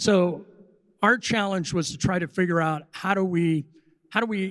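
Against a quiet background, a man's pitch rises and falls an ordinary amount. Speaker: panelist. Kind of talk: panel discussion answer. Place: hall. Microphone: handheld.

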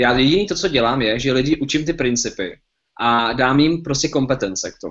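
A man speaks at a very fast pace in a quiet background. His medium-pitched voice shows ordinary pitch variation. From Czech Republic. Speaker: webinar host. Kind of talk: webinar presentation. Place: home room. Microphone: webcam.

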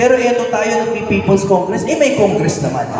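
A man in an animated tone at a moderate pace, with audible room echo and noticeable background noise. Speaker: singer turned lawyer, political speaker. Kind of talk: political speech at a rally. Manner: animated, call-and-response.

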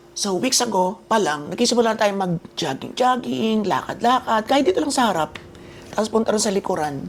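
Against noticeable background noise, a woman speaks at a moderate pace in a medium pitch, her tone animated and her intonation lively. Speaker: vlogger. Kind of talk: casual vlog talk.

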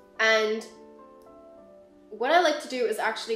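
A woman with an American accent and a fairly high pitch, with audible room echo and faint music in the background. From England and Hong Kong; England. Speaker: product designer; design tutorial creator. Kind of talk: software tutorial narration. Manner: casual, friendly.

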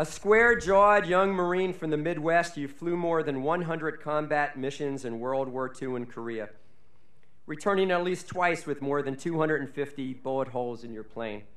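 A man's fairly high voice at a fairly slow pace, lively in intonation, with audible room echo. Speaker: college official reading honorary degree citations. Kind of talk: formal commencement oratory, reading scripted citations with ceremonial flourish. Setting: graduation ceremony on stage before audience. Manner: formal, measured, dignified, with witty rhetorical flourishes. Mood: formal with light humor. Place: stage. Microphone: podium.

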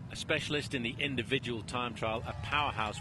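A man speaks at a medium pitch and a fairly quick pace. Noticeable background noise runs behind him. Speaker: cycling commentator. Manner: steady, measured, analytical race call, slightly understated.

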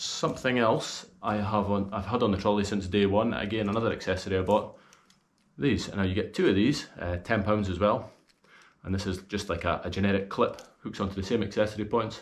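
In a Scottish accent, a man talks at a fairly low pitch. His intonation stays fairly even. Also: fairly quick pace. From Scotland. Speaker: golf gear reviewer. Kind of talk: video review. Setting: outdoors. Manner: casual. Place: home room.

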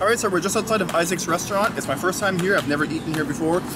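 Over loud background noise, a man speaks at a very fast pace with ordinary pitch variation in a dry sound with no echo. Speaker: food vlogger. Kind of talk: casual vlog chat. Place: street. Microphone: phone near.

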